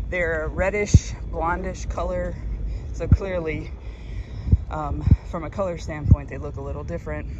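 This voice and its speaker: Amid loud background noise, a woman speaks at a moderate pace with long, frequent pauses, the sound dry with no echo. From Mississippi. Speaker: marine biologist. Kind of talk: casual vlog narration. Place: beach. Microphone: phone near.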